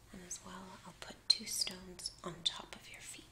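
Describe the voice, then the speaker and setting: A woman whispers in a gentle tone at a very slow pace. Noticeable background noise is present. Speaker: reiki practitioner. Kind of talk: ASMR reiki session. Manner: soft-spoken; gentle, relaxing.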